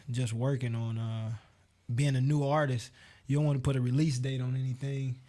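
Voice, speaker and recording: With an American accent, a man speaks at a medium pitch in a somewhat breathy voice with a dark, mellow tone and monotone, flat intonation. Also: very clean recording, silent background. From US, Cleveland, Ohio. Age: 20s. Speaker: singer. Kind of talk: radio interview.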